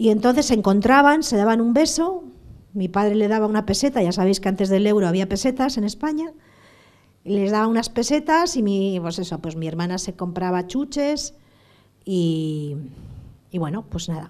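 A woman speaks at a medium pitch and a moderate pace. Her pitch swings very widely. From Basque Country, San Sebastián. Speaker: terrorism victim giving school talks. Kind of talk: testimony. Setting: school classroom with students.

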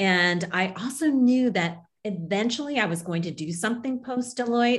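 Somewhat breathy, a woman speaks with lively intonation and an American accent. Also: quiet background. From Kansas, small town. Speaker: leadership coach and business owner. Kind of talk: interview.

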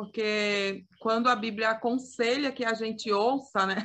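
The speaker is a woman with a fairly high pitch. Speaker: youth ministry podcast co-host. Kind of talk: casual chat. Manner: talkative.

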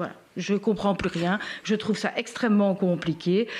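A woman's plain, everyday voice, medium in pitch, at a moderate pace. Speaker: podcast host and patient advocate. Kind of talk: live-stream interview. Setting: Facebook live stream.

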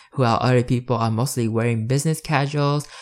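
An unremarkable speaking voice moves at a fairly quick pace with fairly even intonation in a very clean recording against a silent background. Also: man. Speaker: student podcast host. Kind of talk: educational podcast monologue giving advice. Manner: casual, friendly, encouraging.

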